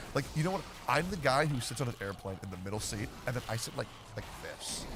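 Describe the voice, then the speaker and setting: Loud and very fast, a man at medium pitch speaks with very wide pitch swings over noticeable background noise. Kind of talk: casual chat.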